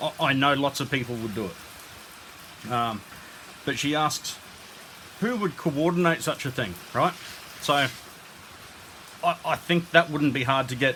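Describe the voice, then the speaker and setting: A man with an Australian accent at a fairly slow pace, ordinary pitch variation, over noticeable background noise. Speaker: YouTuber. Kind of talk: casual monologue. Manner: loud.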